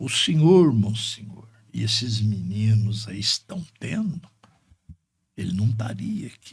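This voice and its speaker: Very slowly and with long, frequent pauses, a man speaks in a fairly low, somewhat breathy voice, his intonation lively and his loudness swinging widely. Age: 70s. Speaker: lawyer. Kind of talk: podcast interview, faith reflections and life stories.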